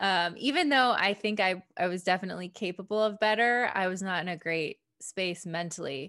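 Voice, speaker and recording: With a Midwestern American accent, a woman speaks at a fairly quick pace in a medium pitch, her tone bright and sharp. Her pitch varies in an ordinary way, and the recording is very clean with a silent background. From Michigan, suburb of Detroit. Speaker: family physician and former CrossFit athlete. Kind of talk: interview.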